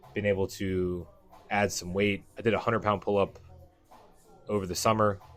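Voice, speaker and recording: With music in the background, a man with a fairly low pitch speaks fairly quickly and with fairly even intonation. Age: 30s. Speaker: fitness vlogger, powerlifter. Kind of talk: voiceover narration of training footage. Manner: casual, conversational with fillers.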